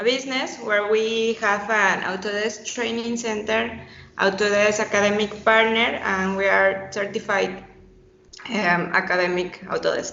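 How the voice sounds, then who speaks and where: A woman with a Spanish accent speaks at a medium pitch in a monotone, flat intonation, with audible room echo. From Mexico. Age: 20s. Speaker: architect and BIM teacher. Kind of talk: podcast interview. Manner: halting.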